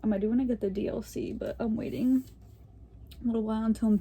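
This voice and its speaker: A woman's somewhat breathy voice, dark and mellow in tone and fairly high in pitch, at a fairly quick pace. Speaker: gaming YouTuber. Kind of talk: casual chat. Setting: home, filming on bed.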